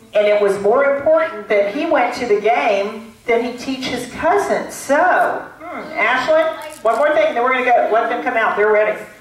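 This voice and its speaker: At a moderate pace, a woman speaks with a high pitch, with audible room echo and light background noise. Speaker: storyteller or teacher on stage. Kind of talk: audience talk, storytelling discussion. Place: stage.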